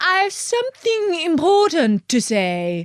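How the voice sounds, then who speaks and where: An extremely high-pitched, put-on character voice at a fairly slow pace. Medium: read story. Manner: terse, stern.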